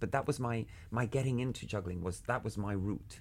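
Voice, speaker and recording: A man talks at a very fast pace in a fairly low, somewhat breathy voice. The recording is very clean, with a silent background. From Cuba (Havana). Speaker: juggler and artistic director. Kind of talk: interview.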